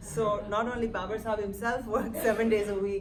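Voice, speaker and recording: Amid noticeable background noise and audible room echo, a woman talks at a fairly quick pace and medium pitch. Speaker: interviewer, academic. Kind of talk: on-stage interview.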